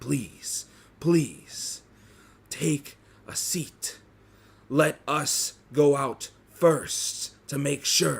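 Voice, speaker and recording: Using a put-on character voice, a man speaks very slowly at a fairly high pitch with fairly even intonation and long, frequent pauses. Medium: actual play. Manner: respectful, earnest.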